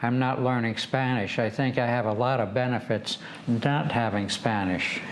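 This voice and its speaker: With an Upper Midwest accent, a man speaks at a fairly slow pace and medium pitch, using ordinary pitch variation over noticeable background noise. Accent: Upper Midwest American. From Michigan, USA. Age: 80s+. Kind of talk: interview answer.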